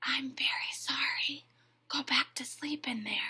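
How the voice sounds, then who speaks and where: A whispered, put-on character voice. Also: woman, moderate pace. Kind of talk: gentle, hushed. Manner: apologetic, soft whisper.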